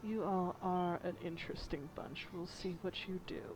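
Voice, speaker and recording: Putting on a rumbling character voice at a medium pitch, a woman speaks at a moderate pace over clear background noise. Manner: ominous.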